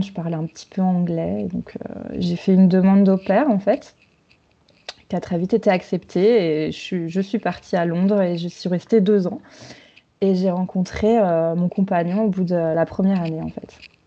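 A woman in a normal speaking voice talks at a moderate pace with fairly even intonation and a fairly low pitch. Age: 30s. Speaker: returning expatriate mother. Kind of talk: testimony.

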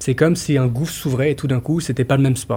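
This man's voice is somewhat breathy, with a dark, mellow tone. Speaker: choreographer and dancer. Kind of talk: interview. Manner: halting.

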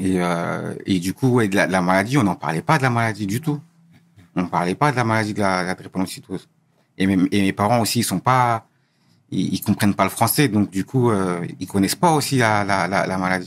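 A man's fairly low voice at a fairly quick pace, with ordinary pitch variation and long, frequent pauses, in a very clean recording with a silent background. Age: 20s. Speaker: guest sharing personal story. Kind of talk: interview testimony. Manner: halting, many repetitions and hesitations.

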